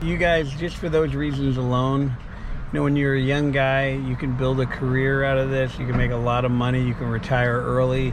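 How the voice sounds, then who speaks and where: A man speaks at a moderate pace and medium pitch with fairly even intonation. Noticeable background noise and audible room echo fill the recording. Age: 60s. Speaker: garage door business owner and trainer. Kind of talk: casual to-camera talk with sales pitch. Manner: rambling, conversational.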